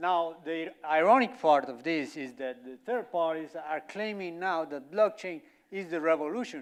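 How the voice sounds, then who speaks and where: On a very clean recording with a silent background, a man with a Colombian accent speaks fairly slowly with lively intonation. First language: Spanish. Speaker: company representative speaker. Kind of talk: conference talk.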